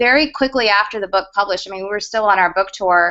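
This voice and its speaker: In an American accent, a woman speaks at a medium pitch. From US South, Georgia. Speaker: media consultant and former news producer. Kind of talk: panel interview in online video hangout.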